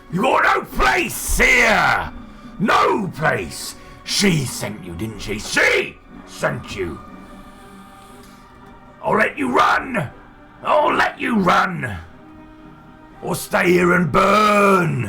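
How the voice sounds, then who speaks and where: A man's put-on character voice, high-pitched, at a very slow pace with long, frequent pauses and clear music in the background. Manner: menacing, shouting, taunting.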